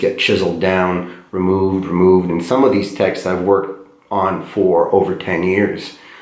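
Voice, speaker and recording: A man speaks at a very deep, low pitch with monotone, flat intonation and a fairly slow pace. Audible room echo fills the recording. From Eastern Europe. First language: not English; third language, born in Eastern Europe. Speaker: poet. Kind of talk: casual talk to a class. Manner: halting, many fillers and repeats.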